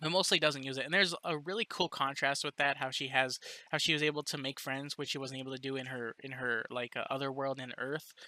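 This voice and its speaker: With a bright, sharp tone, a man speaks at a very fast pace and fairly high pitch in a dry, close sound with no echo. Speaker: book reviewer. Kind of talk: casual review monologue. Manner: halting, many repeated words and fillers.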